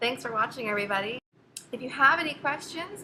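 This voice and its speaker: A woman with a Canadian accent speaks with ordinary pitch variation amid noticeable background noise. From Canada, Hamilton Ontario. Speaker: photographer. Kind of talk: tutorial.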